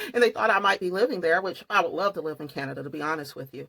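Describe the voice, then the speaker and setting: A woman with a Southern US accent speaks in a fairly low voice. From US South. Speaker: true crime and makeup vlogger. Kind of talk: casual vlog storytelling.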